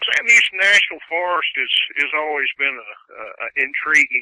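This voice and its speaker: With an American accent, a man talks at a fairly slow pace. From East Texas. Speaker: archaeologist. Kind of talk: interview, personal account. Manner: halting, many fillers.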